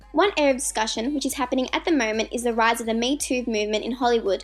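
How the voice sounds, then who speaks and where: Music plays in the background as a woman talks at a very fast pace, high in pitch, with lively intonation. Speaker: university student. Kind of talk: documentary narration for school assignment.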